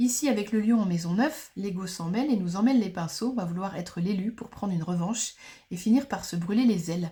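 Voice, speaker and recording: Somewhat breathy, a woman talks in a dark, mellow tone with ordinary pitch variation. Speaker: astrologer. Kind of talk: lecture. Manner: fast.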